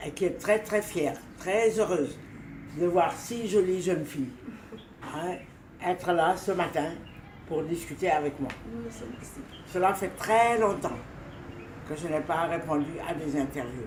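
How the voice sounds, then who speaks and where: Amid noticeable background noise and audible room echo, a woman with a fairly low pitch and ordinary pitch variation talks at a very slow pace with long, frequent pauses. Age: 80s+. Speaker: retired journalist. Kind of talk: interview. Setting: at home.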